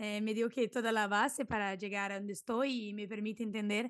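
A woman with a Portuguese accent speaks at a moderate pace and fairly high pitch, the sound dry with no echo over a quiet background. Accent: Portuguese-accented Spanish, portuñol. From southern Brazil, Santa Maria; southern Brazil. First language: Portuguese (speaking Spanish). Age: 20s. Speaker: food and product photographer; podcast guest. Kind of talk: podcast interview. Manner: hesitant, with fillers. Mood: friendly, smiling. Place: home room. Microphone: studio mic.

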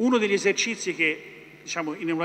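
A man is speaking. His pace is very fast. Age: 50s. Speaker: energy company executive; speaker. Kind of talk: panel talk. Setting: stage with audience. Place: hall. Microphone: podium.

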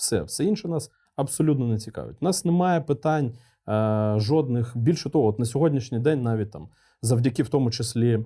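A man's medium-pitched, dark and mellow voice, somewhat breathy, with lively intonation and a fairly quick pace, on a very clean recording with a silent background. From eastern Ukraine, Luhansk region. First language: Russian (speaking Ukrainian). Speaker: military commander. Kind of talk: interview.

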